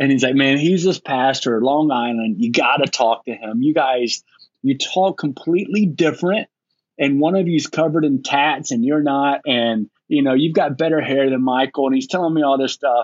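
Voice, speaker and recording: A man with a normal speaking voice, fairly high in pitch, talks at a moderate pace with ordinary pitch variation and very even loudness. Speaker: lead pastor. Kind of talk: casual panel discussion. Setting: video call.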